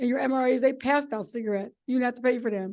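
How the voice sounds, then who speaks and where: A woman with an American accent speaks at a very fast pace. Her voice is high. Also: quiet background. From York, Pennsylvania. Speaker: retired army nurse and author. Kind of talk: talk at a club meeting.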